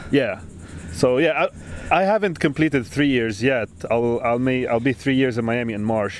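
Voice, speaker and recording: With a non-native accent, a man at medium pitch talks at a moderate pace using lively intonation. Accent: foreign. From Lebanon. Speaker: podcast host, architect. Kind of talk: casual chat. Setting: outdoors on a beach.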